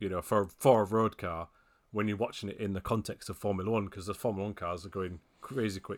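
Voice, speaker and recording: This British-accented speaker talks at a very fast pace with fairly even intonation. The recording is very clean, and the background is silent. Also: man, fairly low pitch for a man. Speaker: racing video games website editor. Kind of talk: casual chat.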